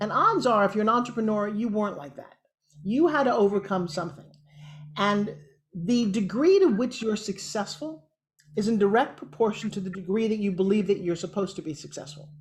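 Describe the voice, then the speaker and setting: Somewhat breathy and animated, a woman at a medium pitch speaks with big swings in loudness. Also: lively intonation, fairly quick pace. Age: 60s. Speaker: TV host and motivational speaker. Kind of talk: interview.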